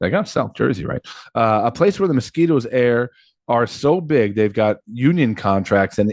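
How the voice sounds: The intonation here is lively. A natural reading voice sits over a quiet background.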